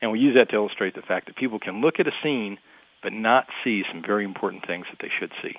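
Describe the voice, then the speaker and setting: A man talks at a very fast pace with big swings in loudness. His pitch is medium, with ordinary variation. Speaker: author. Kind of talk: interview.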